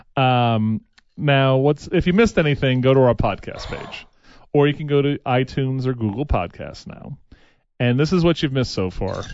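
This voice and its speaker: With an American accent, a man speaks at a moderate pace with ordinary pitch variation. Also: medium pitch for a man. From New York. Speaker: morning radio host. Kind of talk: casual chat. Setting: studio. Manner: animated.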